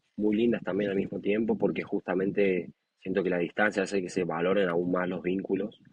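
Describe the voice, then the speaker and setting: A man with a very deep, low voice speaks at a moderate pace with a Santiago del Estero accent. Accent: Argentine Spanish, Santiago del Estero. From Argentina, Santiago del Estero. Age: 20s. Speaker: professional rugby player. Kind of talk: interview. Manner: hesitant, many fillers.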